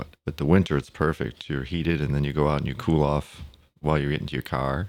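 A man with a very deep, low pitch and vocal fry talks at a very fast pace with fairly even intonation. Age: 60s. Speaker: podcast guest. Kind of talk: casual interview.

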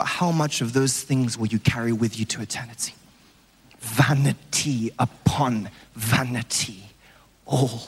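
A man's medium-pitched voice at a fairly slow pace with ordinary pitch variation and long, frequent pauses, over noticeable background noise. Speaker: evangelist preacher. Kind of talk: sermon. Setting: church with congregation. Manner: animated.

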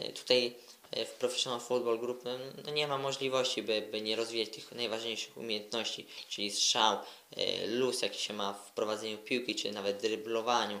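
A man at a medium pitch, talking in a flat monotone at a moderate pace, with noticeable background noise. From Poland, Koszalin. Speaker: footballer. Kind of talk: interview.

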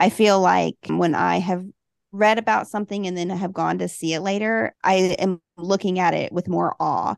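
At a moderate pace, a woman with a Southern US accent speaks over a quiet background in a dry, close sound with no echo. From US South, Huntsville, Alabama. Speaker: travel book blogger. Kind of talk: interview.

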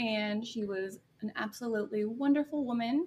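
A somewhat breathy woman with an American accent, fairly high-pitched, at a fairly slow pace and with ordinary pitch variation. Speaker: podcast guest, artist and podcaster. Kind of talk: casual interview conversation. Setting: remote recording.

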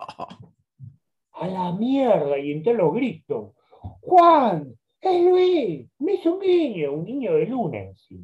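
A man speaks very slowly at an extremely high pitch, with very wide pitch swings. His loudness swings widely and long, frequent pauses break up his speech. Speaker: journalist and biographer. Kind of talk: interview.

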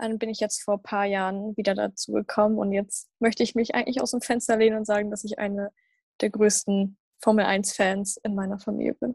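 Over a quiet background, a woman talks at a fairly quick pace in a medium pitch, somewhat breathy. Her intonation is monotone and flat, and the sound is dry and close with no echo. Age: young. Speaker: podcast host. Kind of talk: casual chat.

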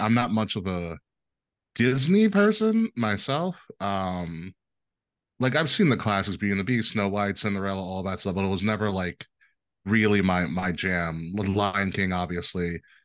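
Against a quiet background, a man with an American accent uses an unremarkable speaking voice, fairly low in pitch, with ordinary pitch variation. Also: moderate pace. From New York, Long Island. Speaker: podcast host and network manager. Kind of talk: casual chat.

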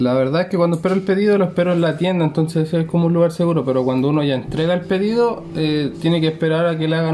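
A man with a Chilean accent talks at a very fast pace with hardly any pauses, his pitch high. His intonation is fairly even, his loudness very even, and background noise is noticeable. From Chile, Santiago metropolitan region. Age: 20s. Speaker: delivery rider. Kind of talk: interview.

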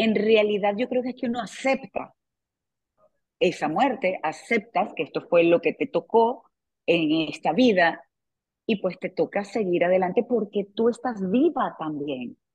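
At a fairly slow pace, a woman talks in a normal speaking voice of medium pitch with lively intonation. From Venezuela. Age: 40s. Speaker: TV presenter and author. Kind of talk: interview. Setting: video call.

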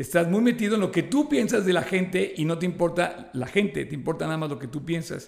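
A high-pitched man talking at a fairly quick pace, with lively intonation and hardly any pauses. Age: 60s. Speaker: podcast co-host. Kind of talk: casual chat.

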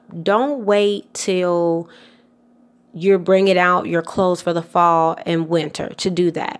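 On a very clean recording with a silent background, a woman with an American accent talks at a very slow pace in a medium pitch. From US South, Atlanta, Georgia. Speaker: wardrobe stylist and podcast host. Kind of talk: solo tips podcast monologue. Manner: casual, many filler words.

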